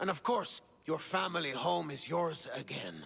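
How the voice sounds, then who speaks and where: A man does a put-on character voice that is raspy and fairly high in pitch. He delivers it at a moderate pace. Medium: video game. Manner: commanding.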